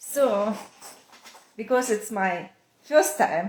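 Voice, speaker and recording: This woman's voice sits fairly high in pitch. She speaks at a very slow pace. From Russia. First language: Russian. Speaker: knitwear designer. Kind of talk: casual chat. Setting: Instagram live video. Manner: halting.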